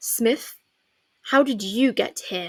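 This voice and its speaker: A woman puts on a character voice, growling and husky. Her pitch sits fairly high. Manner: timid.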